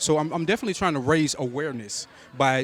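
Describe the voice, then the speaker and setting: A man's fairly high voice at a very fast pace, over noticeable background noise. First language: American Sign Language. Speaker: film producer. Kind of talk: red carpet interview. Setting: event premiere and fundraiser. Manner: halting.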